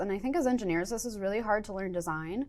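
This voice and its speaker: Talking at a very fast pace, a woman with an American accent uses ordinary pitch variation. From upstate New York. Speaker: software engineer teaching a workshop; workshop instructor. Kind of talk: workshop lecture. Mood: friendly, enthusiastic. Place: studio.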